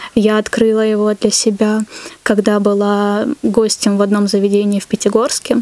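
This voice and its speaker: Over noticeable background noise, a woman talks at a moderate pace in a fairly high voice with monotone, flat intonation. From North Caucasus, Russia. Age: 20s. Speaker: barista. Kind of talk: casual interview.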